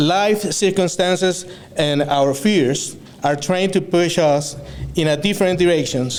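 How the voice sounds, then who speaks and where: A man speaks at a fairly slow pace in a high voice with ordinary pitch variation and very even loudness. Room echo is audible, and background noise is noticeable. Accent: Spanish. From Venezuela. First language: Spanish. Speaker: student speaker. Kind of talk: graduation speech. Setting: stage with audience. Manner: halting, many fillers.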